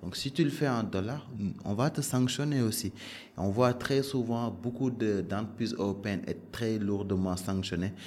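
The speaker talks at a moderate pace. Pitch variation is ordinary. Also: man. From Senegal, Dakar. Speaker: bank compliance director. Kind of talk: interview. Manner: hesitant, many fillers.

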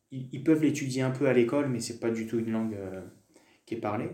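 A man's medium-pitched voice with a dark, mellow tone and ordinary pitch variation, plus audible room echo. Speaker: French teacher. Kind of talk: casual interview, personal testimony. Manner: hesitant, many fillers.

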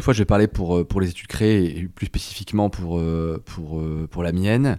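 A man's very deep, low voice with a dark, mellow tone, ordinary pitch variation, a moderate pace and hardly any pauses, on a very clean recording with a silent background. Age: 30s. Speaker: notary. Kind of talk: interview. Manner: hesitant, many fillers.

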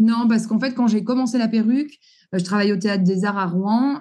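A woman speaks at a medium pitch with fairly even intonation. Audible room echo surrounds her voice. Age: 40s. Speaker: entrepreneur, former hairdresser and wigmaker. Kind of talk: interview.

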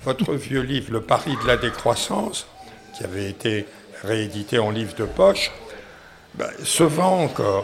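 A man's medium-pitched voice at a fairly slow pace, full of very wide pitch swings and long, frequent pauses, over noticeable background noise. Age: 80s+. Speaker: economics professor. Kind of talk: interview. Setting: café.

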